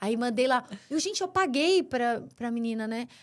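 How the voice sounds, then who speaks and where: A high-pitched woman with lively intonation on a very clean recording with a silent background. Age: 40s. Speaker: business owner. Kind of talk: casual chat.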